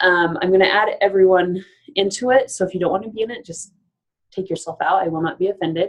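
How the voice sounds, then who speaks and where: A woman of medium pitch talks at a very fast pace with ordinary pitch variation. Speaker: life coach. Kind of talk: webinar presentation. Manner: animated.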